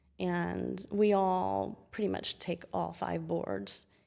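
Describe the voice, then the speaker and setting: In a very clean recording with a silent background, a woman speaks with a Southern US accent. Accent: charming Southern US. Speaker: chiropractor. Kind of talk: interview.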